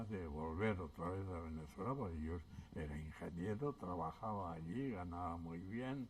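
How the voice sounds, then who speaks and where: Lively in intonation yet fairly slow, a man speaks in a very deep, low pitch that is somewhat breathy. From Basque Country, childhood exile in France. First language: Basque (speaking Spanish). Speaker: exile witness. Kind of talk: oral history interview. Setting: public event panel. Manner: hesitant.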